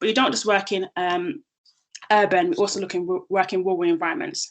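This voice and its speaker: A woman with a strong London accent speaks very fast at a medium pitch, her intonation lively. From London, southeast. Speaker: social enterprise founder and CEO. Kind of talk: presentation.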